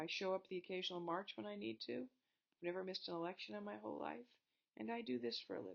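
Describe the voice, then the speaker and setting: Very fast speech in an American accent with very wide pitch swings. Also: woman, fairly low pitch for a woman. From Montana, US. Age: 60s. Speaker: college history teacher. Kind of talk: lecture. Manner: animated.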